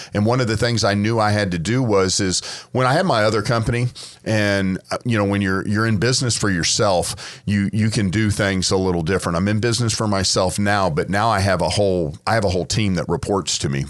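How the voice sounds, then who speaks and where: A man's ordinary speaking voice, fairly low in pitch, at a fairly quick pace with ordinary pitch variation and very even loudness. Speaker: auctioneer and car auction founder. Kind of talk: casual podcast conversation.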